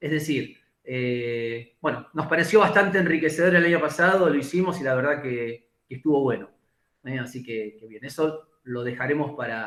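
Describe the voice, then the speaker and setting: A man speaks with a fairly high pitch and ordinary pitch variation. His loudness swings widely. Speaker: physical education professor. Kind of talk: lecture. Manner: fast.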